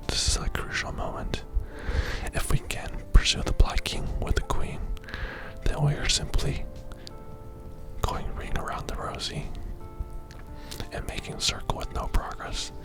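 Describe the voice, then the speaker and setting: Whispering in a calm tone over background music, a man keeps a moderate pace with long, frequent pauses. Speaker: chess grandmaster. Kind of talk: ASMR chess lesson. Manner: relaxing, calm.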